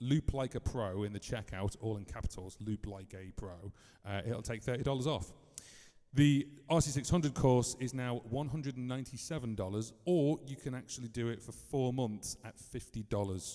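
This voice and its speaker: The man speaks at medium pitch with a dark, mellow tone. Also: ordinary pitch variation. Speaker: music tutor and looper. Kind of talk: live stream tutorial. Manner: fast.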